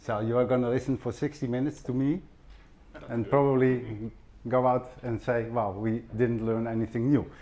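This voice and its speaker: A man with a Dutch accent, medium pitch, dark, mellow tone, fairly even intonation and a moderate pace. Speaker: professor. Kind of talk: conference presentation.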